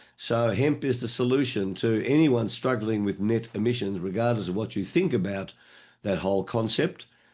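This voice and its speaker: With an Australian accent, a man speaks at a medium pitch and moderate pace, with ordinary pitch variation and a quiet background. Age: 70s. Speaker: online meeting moderator. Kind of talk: meeting moderation. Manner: animated.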